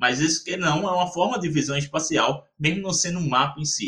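A man talks at a middling speed. His tone comes across as bright and sharp. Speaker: geomarketing consultant and entrepreneur. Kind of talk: interview. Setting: podcast. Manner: animated.

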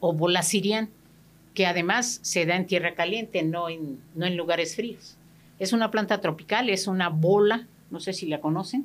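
With a plain, everyday voice, a woman talks at a moderate pace and medium pitch, her pitch varying in an ordinary way, in a very clean recording with a silent background. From Mexico, Guerrero state. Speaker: therapist. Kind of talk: radio interview. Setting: radio studio.

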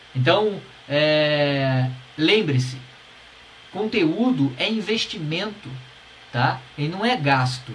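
Over noticeable background noise and audible room echo, a man with a fairly high pitch and lively intonation speaks very slowly, with long, frequent pauses. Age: 40s. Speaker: podcast host, musician. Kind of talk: solo podcast talk, advice. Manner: casual, animated.

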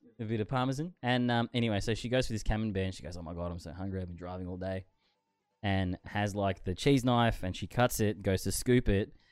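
Over music in the background, a man talks very fast in a fairly low voice. His tone is animated, with ordinary pitch variation. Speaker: podcast co-host. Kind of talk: casual chat. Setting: small room studio, streamed online. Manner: animated, excitable.

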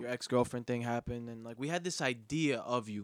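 A man talks fairly quickly at a medium pitch with ordinary pitch variation, in an ordinary speaking voice. The sound is dry and close, with no echo. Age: 20s. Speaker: podcast host. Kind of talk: casual chat.

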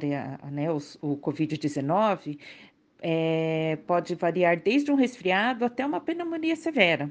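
Her pitch fairly low, a woman talks at a very slow pace with lively intonation. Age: 50s. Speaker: podcast co-host, mother. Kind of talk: scripted health explainer.

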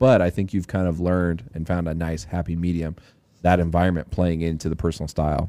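Speech comes at a very fast pace in an American accent. The tone is dark and mellow. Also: man, very deep, low pitch for a man. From Texas. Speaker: podcast host. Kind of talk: casual chat. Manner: animated.

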